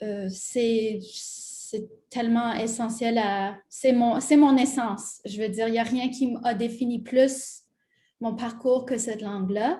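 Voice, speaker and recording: A dark, mellow tone at a very slow pace, with fairly even intonation. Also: woman. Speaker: multidisciplinary artist. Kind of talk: panel discussion.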